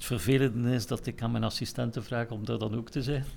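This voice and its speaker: The speaker is a man with a medium pitch. Vocal fry runs through his voice. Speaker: musical director. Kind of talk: casual chat. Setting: recorded in Kortrijk.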